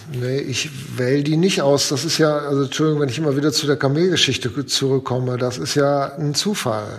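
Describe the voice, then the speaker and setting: A man with a fairly high pitch and ordinary pitch variation speaks over noticeable background noise. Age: 50s. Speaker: foundation executive and lawyer. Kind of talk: casual interview. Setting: remote call from his office.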